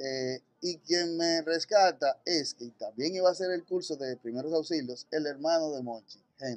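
With a Dominican accent, a man speaks at a moderate pace and fairly high pitch, his pitch varying an ordinary amount, in a dry, close sound with no echo. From Dominican Republic, Santo Domingo. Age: 40s. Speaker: paramedic and first-aid instructor. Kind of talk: interview.

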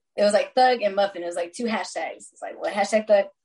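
In an American accent, a woman speaks at medium pitch and a very fast pace. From Texas. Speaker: musician. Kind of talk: casual chat.

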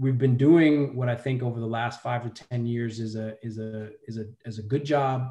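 A man with an American accent and medium pitch talks at a moderate pace with hardly any pauses, his dark, mellow, somewhat breathy voice showing big swings in loudness over fairly even intonation. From New York, Brooklyn. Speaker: philanthropy executive and Marine veteran. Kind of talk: interview.

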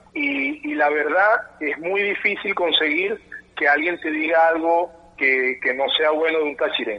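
Against noticeable background noise, a man with a fairly high pitch talks at a fairly slow pace with ordinary pitch variation. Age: 30s. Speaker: football coach. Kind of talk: interview.

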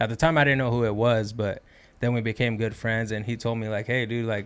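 His intonation is monotone and flat. The man talks in an American accent. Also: very clean recording, silent background. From East Los Angeles. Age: 20s. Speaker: kayak bass fisherman. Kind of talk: casual chat.

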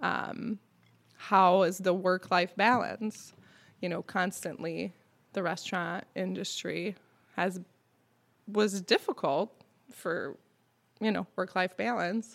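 Vocal fry runs through this very slow delivery, broken by long, frequent pauses, with fairly even intonation. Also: woman, medium pitch for a woman. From Quebec. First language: French. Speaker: restaurant co-owner. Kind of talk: casual interview chat.

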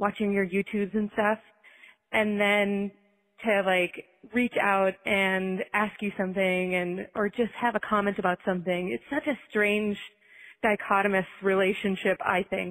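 In a plain, everyday voice, a woman talks at a fairly slow pace with medium pitch, fairly even intonation and very even loudness. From Minnesota. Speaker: listener caller. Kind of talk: recorded voicemail.

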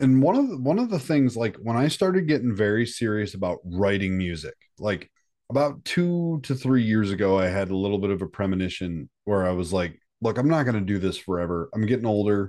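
In a dark, mellow tone, a man speaks at a fairly quick pace with lively intonation over a quiet background. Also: fairly low pitch for a man. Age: 30s. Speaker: metal musician. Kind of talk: casual chat.

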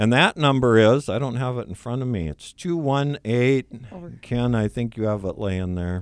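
In a plain, everyday voice, a man speaks fairly slowly at a medium pitch with lively intonation. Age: 60s. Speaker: support group leader. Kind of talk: radio interview. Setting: radio studio.

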